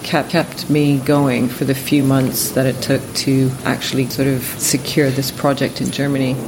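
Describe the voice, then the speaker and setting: Noticeable background noise runs under this recording. A woman talks at a moderate pace. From Ontario, Canada. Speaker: architect. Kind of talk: interview conversation. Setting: architecture office.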